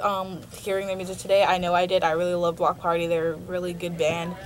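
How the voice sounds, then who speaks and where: A woman talks at a medium pitch while noticeable background noise is heard. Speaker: college radio host. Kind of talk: radio show talk. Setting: radio studio. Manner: halting, many filler ums.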